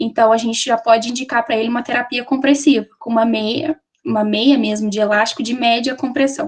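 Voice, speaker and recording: A woman's high-pitched voice moves along at a fairly quick pace. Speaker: nursing student presenter. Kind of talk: lecture. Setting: webinar. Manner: fast.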